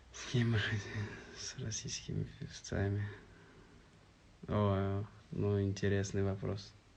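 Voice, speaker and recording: A man with a strong Tatar accent, speaking at a very slow pace with long, frequent pauses, somewhat breathy, with audible room echo. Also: fairly low pitch for a man, fairly even intonation. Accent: strong Tatar accent when singing in Russian. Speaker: singer answering fans in a live stream. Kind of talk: live stream Q&A reading viewer comments.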